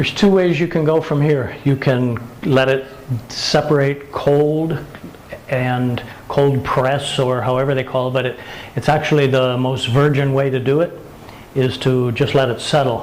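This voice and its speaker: A man with a fairly high pitch over noticeable background noise. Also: moderate pace. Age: 70s. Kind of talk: casual how-to demonstration to camera.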